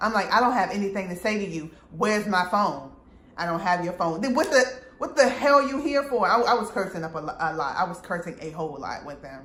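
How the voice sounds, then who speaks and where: A woman speaks at a medium pitch with very wide pitch swings. The room echo is audible and there is noticeable background noise. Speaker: vlogger telling personal story. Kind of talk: storytime monologue. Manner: loud.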